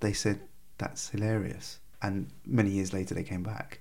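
Speaking with a British accent, a man keeps a moderate pace. His voice is fairly low with fairly even intonation. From England. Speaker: former extremist, counter-extremism director. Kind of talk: interview.

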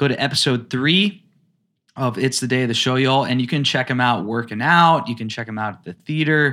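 A man's bright, sharp tone at a fairly quick pace, with big swings in loudness. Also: medium pitch for a man, ordinary pitch variation. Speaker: podcast host, acting coach. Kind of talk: casual interview.

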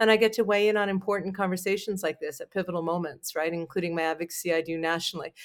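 A woman with a Canadian accent talks at a very fast pace in a fairly low pitch. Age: 40s. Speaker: PR firm owner and talk show host. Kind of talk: interview.

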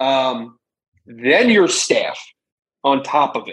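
An ordinary speaking voice from a man with an American accent, fairly high in pitch with ordinary variation. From Philadelphia. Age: 30s. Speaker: sports reporter. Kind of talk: casual chat.

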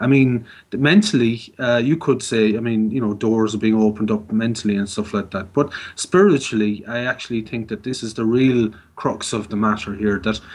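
A man's medium-pitched voice with an Irish accent, at a moderate pace with ordinary pitch variation. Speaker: mental health peer advocate. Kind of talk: radio interview. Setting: phone call. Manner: halting.

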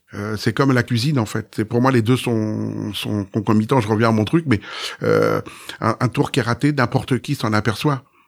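A man's medium-pitched voice carries vocal fry and fairly even intonation. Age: 50s. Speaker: magician. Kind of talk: podcast interview.

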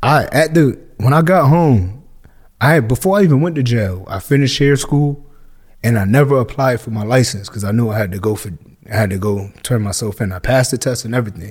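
A man with a Northeastern US accent talks at a fairly quick pace, his medium-pitched voice somewhat breathy and his intonation lively. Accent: urban Northeast US. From Hartford, Connecticut. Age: 30s. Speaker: barber and former prisoner. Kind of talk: casual interview.

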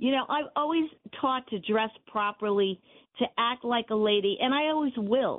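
Speaking at a moderate pace, a woman with a high pitch keeps her loudness very even. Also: ordinary pitch variation. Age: 70s. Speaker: radio caller. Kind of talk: call-in opinion. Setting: phone call.

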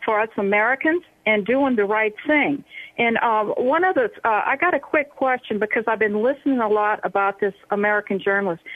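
A woman's plain, everyday voice, fairly high in pitch, at a fairly quick pace with ordinary pitch variation. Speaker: caller. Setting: phone call.

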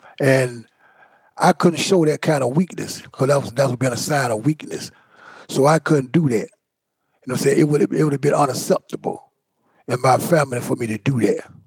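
Speaking fairly quickly but with long, frequent pauses, a man with an American accent has a fairly high, somewhat breathy voice. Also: ordinary pitch variation, dry, close sound with no echo. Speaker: exonerated former prisoner. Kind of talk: interview.

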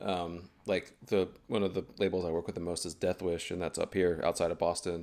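Speaking in an American accent at a moderate pace, a man with a very deep, low pitch keeps a monotone, flat intonation and hardly pauses. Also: very clean recording, silent background. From US South, North Carolina (High Point, Greensboro). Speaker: photographer. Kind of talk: casual chat.

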